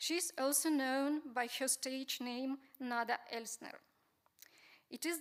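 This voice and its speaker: A high-pitched woman with a Ukrainian accent, fairly even intonation and a fairly slow pace. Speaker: museum researcher. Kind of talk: conference talk.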